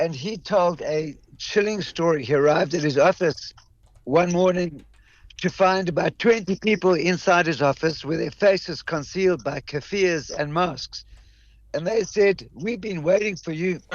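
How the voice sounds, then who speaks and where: This man talks at a moderate pace in a high voice with ordinary pitch variation. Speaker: Australia correspondent. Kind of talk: radio interview report.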